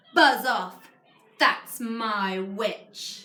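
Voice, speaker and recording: In a put-on character voice, a woman sounds croaky, growling and shrill at a fairly high pitch. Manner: menacing.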